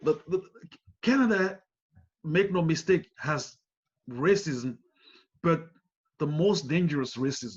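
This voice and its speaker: A man with a non-native accent and fairly high pitch, lively intonation, a fairly slow pace and long, frequent pauses. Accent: foreign. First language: not English. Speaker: community leader. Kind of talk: panel discussion.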